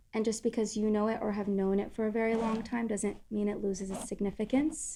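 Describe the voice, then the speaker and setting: A woman speaks in a dark, mellow tone at a fairly high pitch, with monotone, flat intonation. The recording is very clean, with a silent background. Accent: Arabic. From Syria, Damascus. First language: Arabic. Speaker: music content creator. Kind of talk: casual chat.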